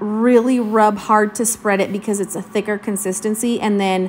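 A woman speaks at a moderate pace with a fairly high pitch. There is light background noise. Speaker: crafting tutorial voiceover narrator. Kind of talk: casual, chatty. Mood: friendly, upbeat.

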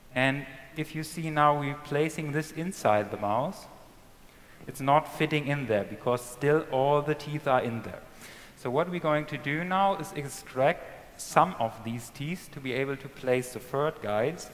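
Fairly slow delivery with ordinary pitch variation. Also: man. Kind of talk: live procedure commentary. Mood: calm, focused.

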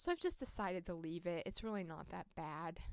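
A woman talks at a moderate pace against a quiet background, the sound dry with no echo. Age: 20s. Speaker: toy collector YouTuber. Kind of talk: casual show-and-tell vlog. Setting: home room recording. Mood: warm, fond, gentle. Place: home room. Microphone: phone near.

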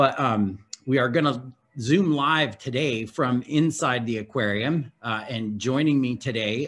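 Music plays in the background as a man talks. His pace is fairly slow, with ordinary pitch variation. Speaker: aquarium director. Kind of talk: virtual open house presentation. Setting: video call from aquarium. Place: home room. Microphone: video call.

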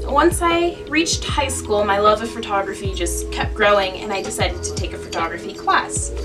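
With clear music in the background, a woman talks at a fairly quick pace with hardly any pauses. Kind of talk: casual vlog chat. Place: home room. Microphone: camera far.

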